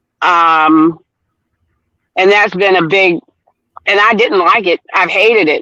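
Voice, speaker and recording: A woman speaks at a medium pitch in a bright, sharp tone. Her pace is fairly slow and her intonation fairly even, with a dry, close sound and no echo. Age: 60s. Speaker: workshop participant. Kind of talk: casual sharing in group. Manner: halting, many hesitations.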